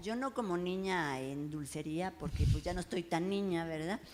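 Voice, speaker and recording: A woman's fairly low voice with ordinary pitch variation, at a moderate pace. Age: 60s. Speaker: writer and oral storyteller. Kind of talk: panel talk before audience. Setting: bar event with live audience. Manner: animated.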